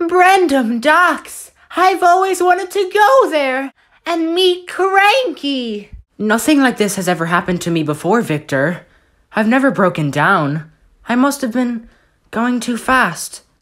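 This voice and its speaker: A put-on character voice, female-sounding and high-pitched, with very wide pitch swings at a fairly slow pace. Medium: voice reel.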